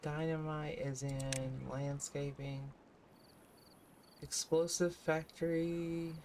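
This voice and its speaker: Someone with an American accent speaks at a very slow pace, leaving long, frequent pauses. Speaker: gaming streamer. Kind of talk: casual gameplay commentary.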